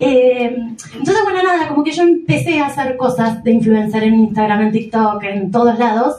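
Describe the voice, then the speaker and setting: With a Rioplatense accent, the voice moves at a moderate pace through very wide pitch swings, with audible room echo. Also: woman. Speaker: stand-up comedian. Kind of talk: stand-up. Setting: stage with audience.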